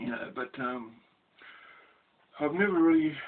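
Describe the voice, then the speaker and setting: Noticeable background noise sits behind a man with an Australian accent. His pitch is fairly high and his pace moderate. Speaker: ex-prisoner storyteller. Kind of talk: casual storytelling monologue. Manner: halting, many fillers.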